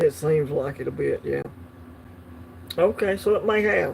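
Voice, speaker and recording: Speaking with a Southern US accent, a man keeps to a fairly slow pace. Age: 50s. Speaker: coin collecting livestream host. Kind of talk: casual livestream chat. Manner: hesitant, many fillers.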